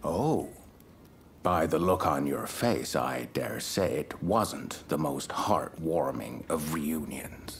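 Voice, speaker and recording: Whispering at a very slow pace, a man performs a put-on character voice. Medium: video game. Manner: measured, self-assured.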